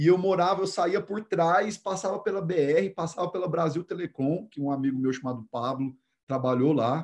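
A man talks in a high voice at a moderate pace. His pitch varies in an ordinary way. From Brazil, Goiânia. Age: 30s. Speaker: personal development coach. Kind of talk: interview.

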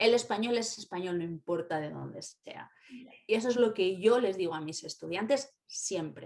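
A woman uses a normal speaking voice at medium pitch with ordinary pitch variation. Her moderate pace comes with big swings in loudness. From Spain, Valladolid. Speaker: university language teacher. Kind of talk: casual interview.

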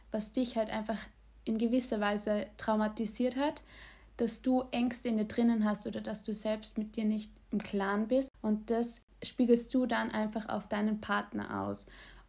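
A woman's somewhat breathy, dark and mellow voice at a fairly high pitch, monotone and flat at a moderate pace, in a very clean recording with a silent background. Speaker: podcast co-host. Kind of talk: casual chat.

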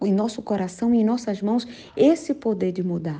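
Somewhat breathy, a woman's voice carries a dark, mellow tone. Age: 50s. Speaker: preacher. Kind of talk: sermon.

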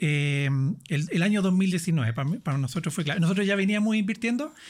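A man's lively intonation is heard on a very clean recording with a silent background. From southern Chile. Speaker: financial coach. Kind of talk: interview.

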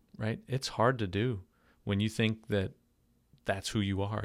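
A man with a New York accent, fairly low pitch and fairly even intonation, on a very clean recording with a silent background. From Long Island, New York. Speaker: pastor. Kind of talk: casual interview chat. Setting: podcast studio.

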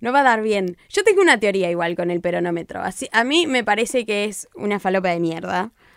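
A woman's medium-pitched, plain, everyday voice at a fairly quick pace with hardly any pauses. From Buenos Aires province, Argentina (rural town). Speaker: political scientist and digital communicator. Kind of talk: casual chat. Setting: studio.

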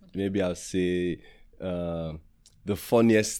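A man with a very deep, low voice speaks on a very clean recording against a silent background. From Nigeria, Edo State. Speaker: content creator and influencer. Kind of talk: casual interview chat. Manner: animated, jokey.

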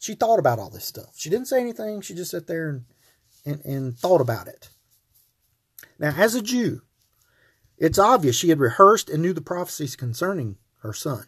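The speaker moves at a fairly quick pace with long, frequent pauses, very wide pitch swings and big swings in loudness. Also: man, high pitch for a man. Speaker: podcast host, Bible teacher. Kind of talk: Bible teaching monologue. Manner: hesitant, many filler words.

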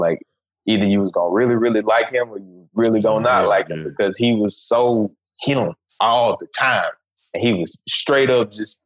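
At a moderate pace, a man with a Memphis accent speaks at a medium pitch with ordinary pitch variation. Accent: Southern US, Memphis. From US South, Memphis, Tennessee. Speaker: podcast co-host. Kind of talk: casual chat. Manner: animated.

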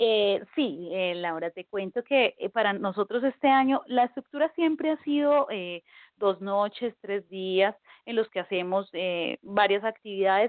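A woman's unremarkable speaking voice, medium in pitch, at a fairly slow pace with lively intonation. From Colombia. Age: 30s. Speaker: Wiccan priestess and pagan community organizer. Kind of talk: interview.

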